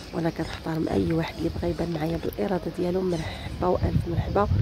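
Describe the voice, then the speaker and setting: Speaking at a moderate pace, a woman uses a fairly low pitch in an eastern Moroccan accent. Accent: eastern Moroccan Darija. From eastern Morocco, Berkane. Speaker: vlogger. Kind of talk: travel vlog narration. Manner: casual, chatty.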